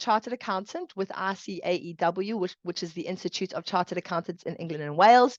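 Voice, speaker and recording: Against a quiet background, a woman with a South African accent talks at a fairly quick pace in a medium pitch with lively intonation and a dry, close sound with no echo. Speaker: chartered accountant. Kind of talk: webinar presentation. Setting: online webinar.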